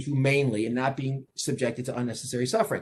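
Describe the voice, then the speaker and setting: Talking at a fairly quick pace with a New York accent, a man has a fairly high, somewhat breathy voice. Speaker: law professor. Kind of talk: lecture. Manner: fast; repetitive, halting restarts.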